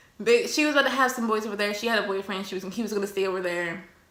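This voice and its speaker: A woman is speaking. Her voice carries audible room echo and noticeable background noise. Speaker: YouTuber. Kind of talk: casual storytelling vlog while eating. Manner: animated.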